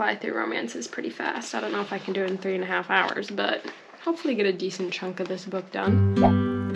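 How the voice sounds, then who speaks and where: Noticeable background noise fills the clip. Over it, a woman talks at a medium pitch. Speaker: book vlogger. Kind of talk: casual vlog talk to camera.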